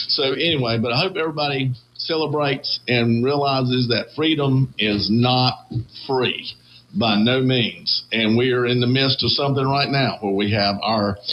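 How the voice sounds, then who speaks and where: With a Southern US accent, a man talks at a very even loudness and with ordinary pitch variation. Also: medium pitch for a man, moderate pace. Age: 60s. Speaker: radio host. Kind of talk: casual chat.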